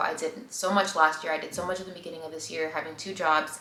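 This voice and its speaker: A woman speaks very fast, with audible room echo and noticeable background noise around her. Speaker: vlogger. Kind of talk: casual vlog monologue. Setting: at home. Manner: halting, stammering.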